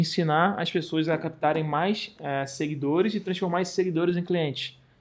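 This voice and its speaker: In a Carioca accent, a man talks at a very fast pace with fairly even intonation. His pitch is fairly high, and the background is quiet. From Rio de Janeiro, Brazil. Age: 30s. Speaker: travel content creator. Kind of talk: casual chat.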